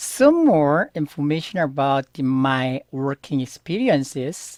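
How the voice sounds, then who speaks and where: Speech in a Korean accent comes at a very slow pace with ordinary pitch variation. The sound is dry and close, with no echo. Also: man. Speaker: Korean language teacher. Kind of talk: tutorial. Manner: halting.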